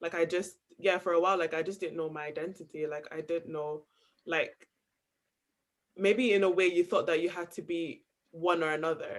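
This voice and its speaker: This man has a high-pitched voice and fairly even intonation. He leaves long, frequent pauses. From Nigeria, raised in Scotland. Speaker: student panelist. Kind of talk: panel discussion. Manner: casual, many fillers.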